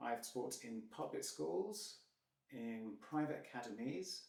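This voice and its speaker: A man with a British accent speaks at a very slow pace in a medium pitch with lively intonation. Audible room echo is present. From UK. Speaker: English teacher. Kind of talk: self-introduction. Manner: hesitant.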